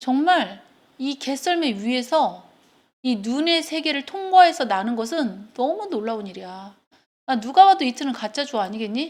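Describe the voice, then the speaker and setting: Her voice is high-pitched, with very wide pitch swings and an animated tone. This woman speaks at a moderate pace. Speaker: English teacher. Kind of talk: lecture. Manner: casual, animated.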